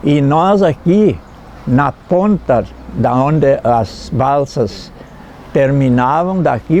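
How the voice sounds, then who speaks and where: This man's voice sits fairly high in pitch, with ordinary pitch variation. Noticeable background noise runs beneath him. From Santa Catarina, Brazil (Itapiranga). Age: 80s+. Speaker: former river raftsman, elderly local resident. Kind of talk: documentary interview testimony. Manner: halting, repeats words.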